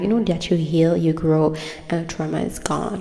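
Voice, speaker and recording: A woman with a non-native accent amid noticeable background noise. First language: not English. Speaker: tarot card reader. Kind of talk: casual chat to camera, intro of a tarot reading. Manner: casual, rambling with fillers.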